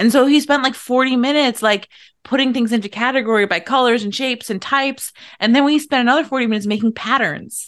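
A woman's high voice with an American accent, very fast pace and ordinary pitch variation, over a quiet background. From US, Irish American beach town. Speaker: podcast co-host and coach. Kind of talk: casual chat.

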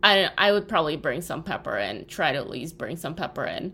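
Vocal fry colors a woman's animated tone. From Russia. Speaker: podcast co-host. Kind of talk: casual chat.

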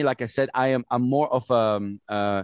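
A man is speaking. He has an Arabic accent. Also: dry, close sound with no echo. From Saudi Arabia (Jeddah). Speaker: hip hop radio host and producer. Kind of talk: interview conversation. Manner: loud; animated.

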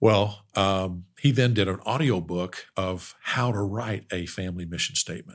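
A man with an American accent speaks in a normal speaking voice at a fairly low pitch, with ordinary pitch variation, at a moderate pace. He leaves hardly any pauses, and the recording is very clean with a silent background. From Oklahoma. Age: 60s. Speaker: business owner, family workshop founder. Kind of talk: interview conversation.

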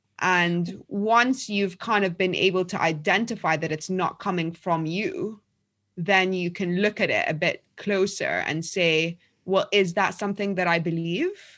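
Against a quiet background, a woman with a London accent talks at a fairly slow pace with fairly even intonation. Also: medium pitch for a woman. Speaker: journalist and author. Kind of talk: casual interview.

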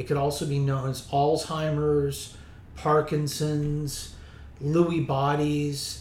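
This man's pitch sits fairly high, and he talks at a very slow pace. His intonation stays flat and monotone over noticeable background noise. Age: 50s. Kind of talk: interview.

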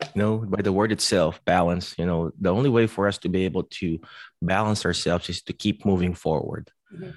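A man with a very deep, low pitch talks at a fairly quick pace with ordinary pitch variation. The sound is dry and close with no echo, over a quiet background. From Philippines. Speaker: physical therapist and author. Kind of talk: conference talk.

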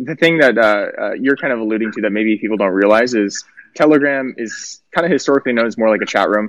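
The pace is very fast. The sound is dry and close, with no echo. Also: man. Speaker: podcast host. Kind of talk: casual chat. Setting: livestream call-in, outdoors in the sun.

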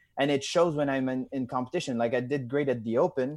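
In a very clean recording with a silent background, a man speaks at a moderate pace and medium pitch, his intonation fairly even. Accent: Quebec. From Quebec, Canada (Drummondville). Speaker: CrossFit athlete. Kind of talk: casual interview. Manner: halting, many fillers.

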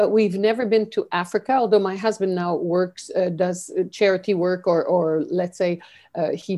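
In a Quebec accent, a woman speaks at a moderate pace with a dark, mellow tone and fairly even intonation against a quiet background. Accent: Canadian French. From French Canada. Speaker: leadership mentor. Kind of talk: interview.

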